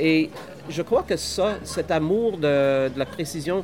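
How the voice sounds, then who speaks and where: A man's high pitch with ordinary pitch variation over music in the background. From northern Saskatchewan, Canada. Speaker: microbrewery owner. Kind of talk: casual interview. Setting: microbrewery on location.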